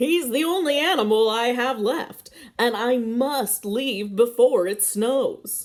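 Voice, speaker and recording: In a put-on character voice, a woman talks fairly slowly at a high pitch with ordinary pitch variation. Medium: read story.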